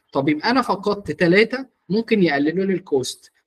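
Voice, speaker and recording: Lively intonation at a moderate pace, with light background noise. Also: man. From Egypt. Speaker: marketing mentor; media buying instructor. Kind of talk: online workshop; lecture. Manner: halting, with frequent repetitions. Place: home room. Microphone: video call.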